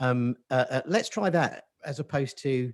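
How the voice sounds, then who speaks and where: The voice belongs to a man speaking at a medium pitch. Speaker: webinar host. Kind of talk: webinar interview. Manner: quiet.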